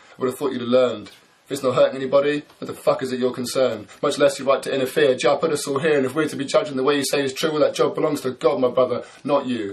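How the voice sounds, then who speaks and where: Noticeable background noise runs behind this recording. A man with a fairly high pitch speaks at a very fast pace. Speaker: spoken word poet. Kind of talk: spoken word poetry performance.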